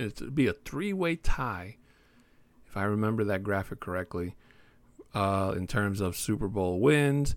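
A man with a fairly low pitch and lively intonation talks at a fairly slow pace, leaving long, frequent pauses. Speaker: sports podcast host. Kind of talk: casual solo podcast talk. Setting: home recording, new room. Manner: laid-back with frequent fillers.

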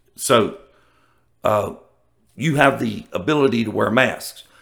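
Vocal fry marks this man's medium-pitched voice in a Southern US accent. He talks at a fairly slow pace with lively intonation. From US South. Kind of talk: casual monologue. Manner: animated.

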